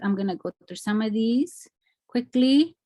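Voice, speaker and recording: An American-accented woman talks at a moderate pace in a fairly high, somewhat breathy voice with lively intonation. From Mexico, then East Los Angeles. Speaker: artist. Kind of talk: lecture.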